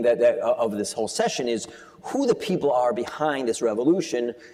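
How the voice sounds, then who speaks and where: At a fairly quick pace, the speaker talks with a northeastern American accent over noticeable background noise. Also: man. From US East Coast. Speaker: financial journalist and author. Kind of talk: onstage interview. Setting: conference stage with audience. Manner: fast.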